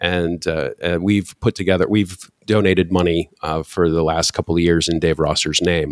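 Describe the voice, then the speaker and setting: A man speaks with an American accent in a very deep, low pitch. The recording is very clean, with a silent background. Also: dry, close sound with no echo. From Michigan, US Midwest. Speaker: podcast host, music fan. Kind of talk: casual chat.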